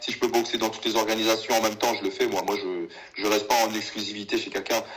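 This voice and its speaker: Noticeable background noise behind a man's very fast speech. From Paris suburbs (Val-d'Oise, near Sarcelles). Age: 20s. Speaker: professional kickboxer. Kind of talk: casual interview. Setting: call.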